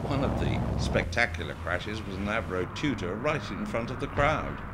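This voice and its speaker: The voice shows very wide pitch swings at a moderate pace. Noticeable background noise can be heard. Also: man, fairly low pitch for a man. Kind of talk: documentary narration.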